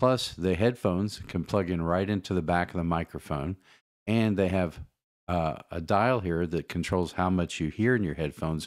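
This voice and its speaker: Against a quiet background, a man talks with a very deep, low pitch and ordinary pitch variation. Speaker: gear reviewer. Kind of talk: casual product review. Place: home room. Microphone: studio mic.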